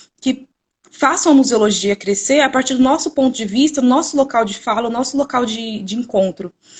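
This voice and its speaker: Pitch varies in an ordinary way as a woman talks at a moderate speed. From Brazil, São Paulo state. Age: 20s. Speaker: museology student. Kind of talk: live stream presentation. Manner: hesitant, repeats words.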